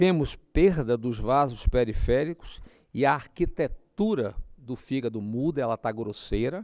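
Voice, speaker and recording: Speaking fairly slowly, a man uses lively intonation at a medium pitch. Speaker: physician lecturing on ultrasound. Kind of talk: lecture.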